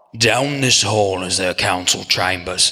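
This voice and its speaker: A man puts on a raspy character voice at a fairly low pitch. He goes at a moderate pace. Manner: hushed, wary.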